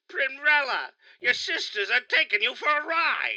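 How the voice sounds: In a cartoonish character voice, the speaker talks at a moderate pace with a high pitch.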